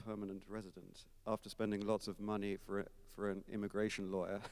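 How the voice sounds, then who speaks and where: A man's fairly low voice with an English accent. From England, Kent. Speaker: concert organist. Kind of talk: onstage interview. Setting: recital hall with audience. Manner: hesitant, many fillers.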